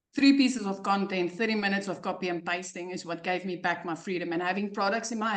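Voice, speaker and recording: Talking at a very fast pace, a woman speaks with a South African accent. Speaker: online business coach. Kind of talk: testimony. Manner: animated.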